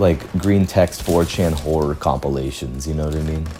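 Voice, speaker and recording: A man's calm, relaxed tone with a very deep, low pitch against noticeable background noise. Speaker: gaming streamer. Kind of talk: casual gameplay commentary.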